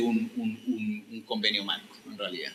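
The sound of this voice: A man talks at a moderate pace with a bright, sharp tone. His voice has a slightly husky edge and ordinary pitch variation.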